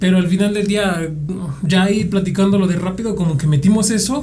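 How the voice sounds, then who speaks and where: This man speaks high for his sex with ordinary pitch variation, and there is audible room echo plus noticeable background noise. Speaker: guitarist in a rock band. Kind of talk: casual chat.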